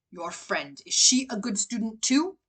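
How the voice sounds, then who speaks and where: This is a put-on character voice that sounds female. It is growling and fairly high in pitch. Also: moderate pace. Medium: read story. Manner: stern, commanding.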